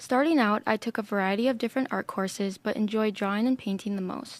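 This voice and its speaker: A woman talks at a fairly quick pace in an ordinary speaking voice, fairly high in pitch with ordinary pitch variation. The recording is very clean, with a silent background. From Minnesota, US Midwest. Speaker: art student. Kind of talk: presentation talk. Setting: podcast room.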